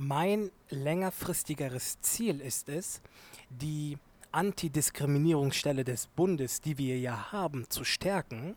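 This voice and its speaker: A man's fairly high voice at a very slow pace with ordinary pitch variation, on a very clean recording with a silent background. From Germany, Turkish family. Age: 20s. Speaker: law student and activist. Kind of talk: interview. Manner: hesitant, many fillers.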